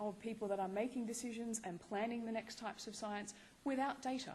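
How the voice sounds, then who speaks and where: A woman speaks with a fairly high pitch and ordinary pitch variation. Her voice is somewhat breathy, with audible room echo. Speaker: research fellow. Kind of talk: conference talk.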